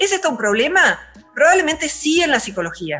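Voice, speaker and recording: With music behind her, a woman talks at a medium pace. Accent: Rioplatense. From Argentina. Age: 60s. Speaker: philosopher. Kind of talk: interview.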